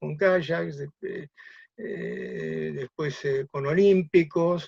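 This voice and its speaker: A man's very slow speech in a dry, close recording with no echo. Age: 70s. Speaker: kayak builder. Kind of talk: talk. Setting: video call.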